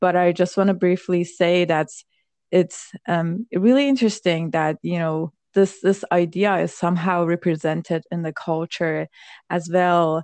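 At a fairly slow pace, a woman talks in a fairly low pitch, recorded dry and close with no echo over a quiet background. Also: fairly even intonation. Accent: Persian. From Iran. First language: Persian. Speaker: podcast co-host, tech worker. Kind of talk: casual chat.

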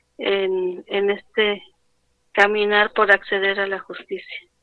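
At a very slow pace, a woman speaks in a fairly high pitch with monotone, flat intonation. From Mexico City, Xochimilco. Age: 30s. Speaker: acid attack survivor and farmer. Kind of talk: interview. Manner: halting.

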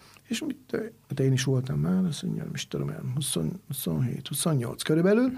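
A man talks in a somewhat breathy, fairly high voice. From Hungary, Swabian descent. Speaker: chef. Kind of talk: interview.

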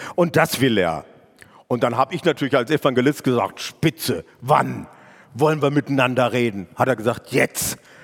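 A man's medium-pitched voice with vocal fry, an animated tone and ordinary pitch variation at a moderate pace, in a dry, close sound with no echo. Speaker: evangelist. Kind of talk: sermon.

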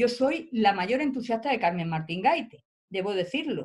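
Lively intonation marks a woman's speech, which moves at a moderate pace. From Spain, Almería. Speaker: professor and writer. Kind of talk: interview. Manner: halting.

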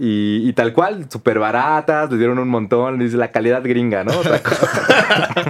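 A man with a Mexican accent at a medium pitch, speaking at a fairly slow pace with ordinary pitch variation and hardly any pauses, over noticeable background noise. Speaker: podcast co-host. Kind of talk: casual chat.

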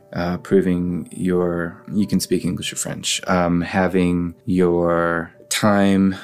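Music plays in the background as a man with an American accent speaks. His pitch is very deep and low, and his pace is very slow. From United States. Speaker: musician and immigrant. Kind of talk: interview.

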